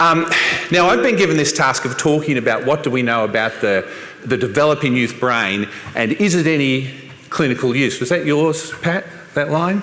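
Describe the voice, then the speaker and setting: A man with an Australian accent speaks at a moderate pace in a fairly high voice, with lively intonation and very even loudness. Noticeable background noise and audible room echo surround him. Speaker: professor. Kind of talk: conference talk.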